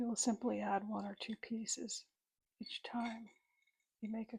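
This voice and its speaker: A soft-spoken woman whispering, with vocal fry. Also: dry, close sound with no echo. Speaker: witch character in roleplay ASMR. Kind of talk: ASMR roleplay, teaching herbal tea craft. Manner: soft-spoken, whispered.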